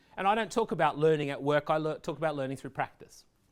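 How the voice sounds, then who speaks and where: A man with an Australian accent speaks in a fairly high pitch. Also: very clean recording, silent background. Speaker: education technology leader giving a talk. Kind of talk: presentation.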